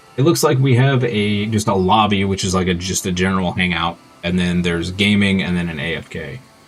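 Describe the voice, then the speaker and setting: Over music in the background, a man with an American accent and a very deep, low pitch talks at a fairly quick pace with hardly any pauses and ordinary pitch variation. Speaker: video game streamer. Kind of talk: livestream chat with viewers. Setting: livestream. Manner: casual with frequent fillers.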